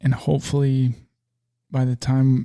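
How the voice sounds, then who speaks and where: This man's voice sits at medium pitch, with a dark, mellow tone and a dry, close sound that has no echo. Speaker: podcast host and small business owner. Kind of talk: solo podcast monologue. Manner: monotone; relaxed, not loud.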